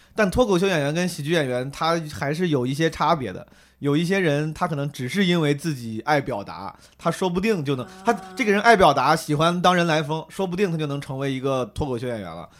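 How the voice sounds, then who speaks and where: A man speaks with an animated tone and lively intonation. His pace is fairly quick. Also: fairly high pitch for a man. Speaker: comedian. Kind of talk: casual chat. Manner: animated, joking.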